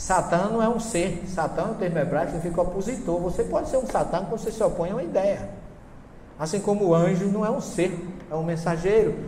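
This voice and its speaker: Noticeable background noise and audible room echo surround a man speaking at a high pitch, at a fairly quick pace, with ordinary pitch variation. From Brazilian Northeast (Paraíba). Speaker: professor and spiritist lecturer. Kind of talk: lecture. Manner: animated.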